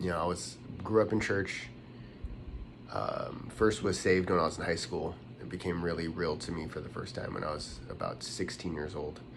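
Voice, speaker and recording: A man talks at a moderate pace in a very deep, low pitch. He speaks with a West Coast American accent. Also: ordinary pitch variation. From Los Angeles, USA. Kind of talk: casual talk to camera.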